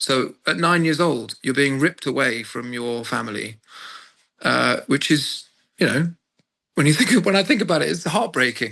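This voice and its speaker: A man speaks at a moderate pace in a fairly high pitch, his tone bright and sharp with vocal fry and ordinary pitch variation against a quiet background. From Dorset, southwest England. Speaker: opera singer. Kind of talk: interview. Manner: hesitant, many fillers.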